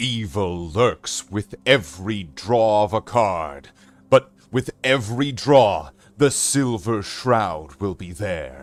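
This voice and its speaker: A man in a put-on character voice speaks at a very slow pace with a fairly low pitch while faint music plays in the background. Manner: dramatic, heroic declaration.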